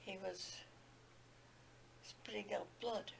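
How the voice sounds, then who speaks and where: Noticeable background noise fills the clip. The woman's speech is very slow. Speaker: retired nurse. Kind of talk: interview answer.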